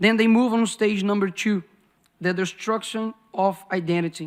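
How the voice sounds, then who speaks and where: A man speaks with a Brazilian Portuguese accent. His pace is moderate and his intonation fairly even. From Brazil, Belo Horizonte. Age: 20s. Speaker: politician. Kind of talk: speech.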